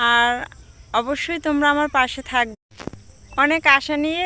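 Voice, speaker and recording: A woman's voice rings out raised and projected, with a bright, sharp tone. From Bangladesh, Barisal. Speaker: vlogger. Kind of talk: vlog introduction to camera. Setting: outdoors.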